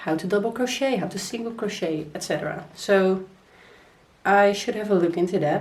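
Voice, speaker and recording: In a room with audible echo, a woman with a Dutch accent talks at a moderate pace with ordinary pitch variation. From Netherlands. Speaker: crochet vlogger. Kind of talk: casual vlog.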